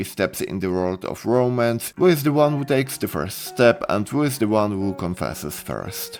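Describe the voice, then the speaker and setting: A man's intonation is lively. Behind him, music plays. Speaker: anime reviewer. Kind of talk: casual review talk.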